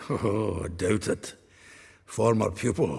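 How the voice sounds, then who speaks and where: Using a put-on character voice, a man sounds raspy and fairly low in pitch, speaking at a fairly slow pace. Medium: video game. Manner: chatty, laughing, earthy.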